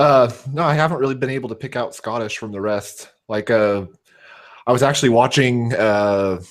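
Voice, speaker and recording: With ordinary movement in his pitch, a man talks at a moderate speed. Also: medium pitch for a man. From US West Coast. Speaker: hangout participant. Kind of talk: casual chat. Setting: online video hangout livestream.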